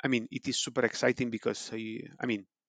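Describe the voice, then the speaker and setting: With an Italian accent, a man speaks in a dry, close sound with no echo. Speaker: preclinical toxicologist. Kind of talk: interview. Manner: hesitant, many fillers.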